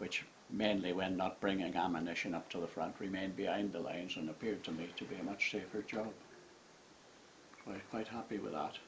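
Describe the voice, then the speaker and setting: This man talks at a very fast pace in a very deep, low pitch with fairly even intonation. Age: 80s+. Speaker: war veteran. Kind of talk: memoir reading.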